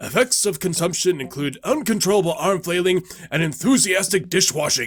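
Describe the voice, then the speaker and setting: A man puts on a character voice pitched high. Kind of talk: character narration of game encyclopedia entries.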